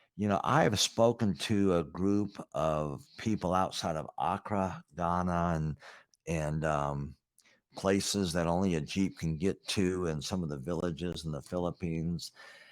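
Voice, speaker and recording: This very clean recording with a silent background carries a voice with ordinary pitch variation. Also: man, very deep, low pitch for a man, fairly slow pace. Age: 60s. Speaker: business coach. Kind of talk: casual chat. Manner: animated.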